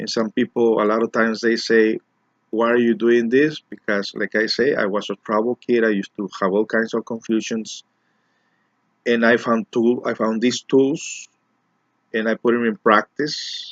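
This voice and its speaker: A man speaks in a Mexican accent at medium pitch and a moderate pace. His intonation is fairly even, and the sound is dry and close with no echo. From Mexico, raised in Los Angeles. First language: Spanish. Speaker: community organizer and self-help speaker. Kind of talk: personal monologue to camera. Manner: halting, with repetitions and fillers.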